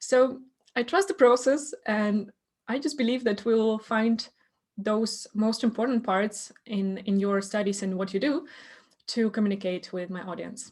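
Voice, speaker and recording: Somewhat breathy, this woman speaks at a fairly high pitch. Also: ordinary pitch variation, fairly slow pace. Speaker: podcast host and coach. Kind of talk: podcast host conversation.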